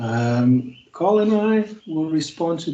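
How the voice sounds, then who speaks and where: A man speaks with a South African accent in a dark, mellow tone. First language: Afrikaans. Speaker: university lecturer. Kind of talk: online class session. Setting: video call. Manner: hesitant, many fillers.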